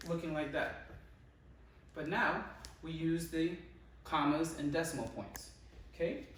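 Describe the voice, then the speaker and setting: A man with a fairly high voice speaks at a fairly slow pace. Long, frequent pauses and audible room echo mark the clip. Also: ordinary pitch variation. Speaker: student presenter. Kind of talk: tutorial.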